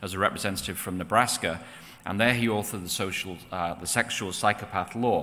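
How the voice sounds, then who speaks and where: A man talks at a very fast pace. His pitch is fairly low, with ordinary pitch variation. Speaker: presenter. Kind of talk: lecture. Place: church. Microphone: podium.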